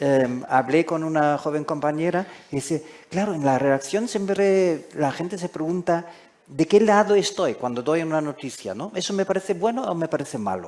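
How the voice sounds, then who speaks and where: Using lively intonation, a man speaks at a moderate pace in a fairly high voice. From Germany. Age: 60s. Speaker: foreign correspondent. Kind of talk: panel discussion. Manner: halting.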